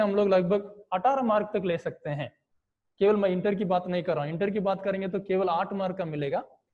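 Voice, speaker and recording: High pitch defines this man's voice. It varies in an ordinary way. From Tamil Nadu, India. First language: Tamil (speaking Hindi). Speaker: online teacher. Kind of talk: online class lecture. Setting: video call.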